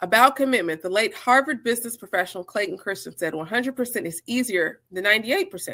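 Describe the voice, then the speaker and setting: In a very clean recording with a silent background, a woman talks at a very fast pace in a bright, sharp tone, her fairly high pitch making very wide swings. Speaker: book club host reading aloud. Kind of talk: reading aloud.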